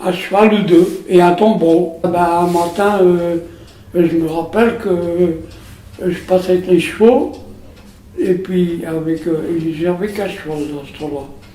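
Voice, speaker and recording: In a room with audible echo and noticeable background noise, a man with a high pitch speaks at a very slow pace, with long, frequent pauses, big swings in loudness and fairly even intonation. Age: 90s. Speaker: wartime witness. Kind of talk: testimony. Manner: halting.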